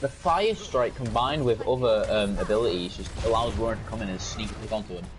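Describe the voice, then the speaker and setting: Over noticeable background noise and audible room echo, a man talks at a very fast pace with hardly any pauses. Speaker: esports caster. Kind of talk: live commentary.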